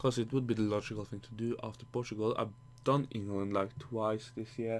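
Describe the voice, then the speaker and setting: Intonation stays fairly even at a fairly quick pace. A Norwegian accent is present. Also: man. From Norway. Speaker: gaming YouTuber. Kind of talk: gameplay commentary. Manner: halting, many false starts; casual, rambling.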